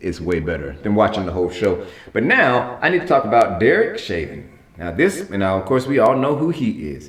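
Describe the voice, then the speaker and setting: This man has a fairly low pitch and an animated tone, with very wide pitch swings. He talks at a fairly quick pace. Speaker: talk show host. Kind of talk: solo entertainment commentary vlog. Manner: fast.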